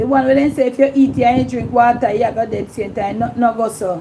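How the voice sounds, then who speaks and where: A woman speaks in a Jamaican accent with ordinary pitch variation. Noticeable background noise runs behind her. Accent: Jamaican patois. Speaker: YouTube livestream host. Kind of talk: casual livestream chat.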